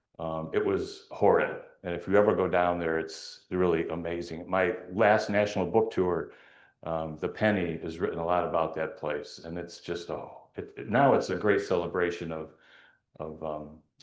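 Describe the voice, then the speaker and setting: A man talks at a moderate pace. There is audible echo from the room. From Alaska. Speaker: author and adventurer. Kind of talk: public talk. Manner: conversational.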